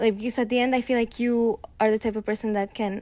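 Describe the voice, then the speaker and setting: A woman with a Spanish accent, dark and mellow in tone, at a fairly quick pace. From Mexico. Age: 20s. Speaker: host's girlfriend. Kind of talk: casual chat.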